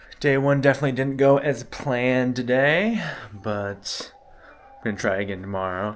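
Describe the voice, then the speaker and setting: The pace is moderate, with ordinary pitch variation. Noticeable background noise runs underneath. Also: man, medium pitch for a man. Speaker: fishing vlogger. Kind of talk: casual vlog narration. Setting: outdoors on a beach. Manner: halting.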